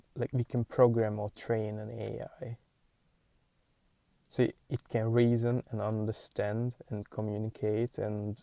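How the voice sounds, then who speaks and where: A man's medium-pitched, dark and mellow voice with a Hungarian accent, monotone and flat at a fairly slow pace, dry and close with no echo, in a very clean recording over a silent background. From Hungary. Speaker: podcaster. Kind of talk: casual monologue. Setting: in a car. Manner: halting.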